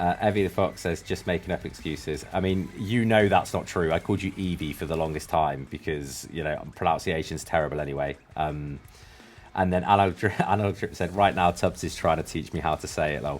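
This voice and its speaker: With a British accent, a man talks at a fairly quick pace in a very deep, low voice with ordinary pitch variation over noticeable background noise. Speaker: music review show host. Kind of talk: casual chat. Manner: animated.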